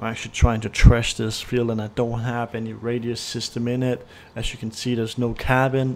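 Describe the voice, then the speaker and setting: A man talks at a fairly quick clip in a flat, monotone delivery. His pitch sits in the middle range. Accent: Danish. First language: Danish. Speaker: gaming YouTuber. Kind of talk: gameplay commentary.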